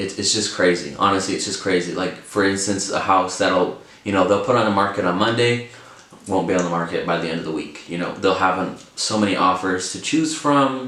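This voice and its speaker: Fairly quick speech with ordinary pitch variation, audible room echo, and noticeable background noise. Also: man, very deep, low pitch for a man. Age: 20s. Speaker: vlogger, first-time home buyer. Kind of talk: casual vlog talk to camera. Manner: casual, filler-heavy with repetitions.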